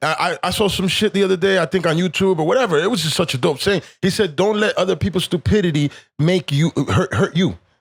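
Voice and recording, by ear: This man talks fast with few pauses, his high voice showing a slightly husky edge, vocal fry and ordinary pitch variation.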